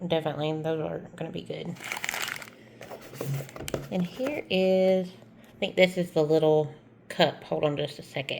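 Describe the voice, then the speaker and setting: Noticeable background noise sits behind the speaker. She is a woman with a fairly low pitch who talks at a moderate pace. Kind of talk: casual unboxing talk to camera.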